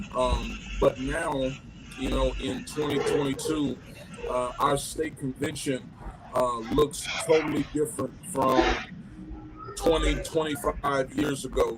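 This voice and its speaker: A man talks very slowly, leaving long, frequent pauses, amid noticeable background noise. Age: 40s. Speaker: pastor. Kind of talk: panel discussion.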